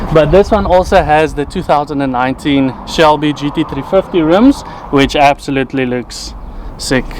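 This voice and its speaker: Over noticeable background noise, a man with a South African accent speaks at a moderate pace and a fairly high pitch, with ordinary pitch variation. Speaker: car reviewer. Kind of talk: casual car review vlog.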